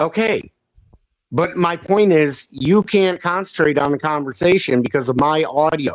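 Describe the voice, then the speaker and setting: A man with a fairly high pitch talks at a moderate pace, his loudness very even throughout. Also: ordinary pitch variation. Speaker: live stream panel host. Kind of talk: heated debate. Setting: live stream panel. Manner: loud, yelling. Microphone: audio causing problems.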